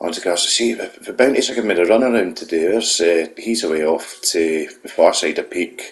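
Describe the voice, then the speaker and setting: Someone speaks with a Scottish accent at a moderate pace. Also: man. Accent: Scottish brogue. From Scotland. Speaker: gaming YouTuber. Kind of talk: gameplay voiceover commentary. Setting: voiceover recorded after gameplay. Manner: casual, hesitant with fillers.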